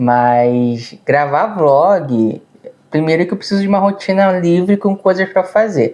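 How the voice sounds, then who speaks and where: Over noticeable background noise, a man talks at a fairly slow pace in a high voice with lively intonation and very even loudness. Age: 30s. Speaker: vlogger. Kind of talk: casual chat. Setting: seated at home video. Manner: words run together.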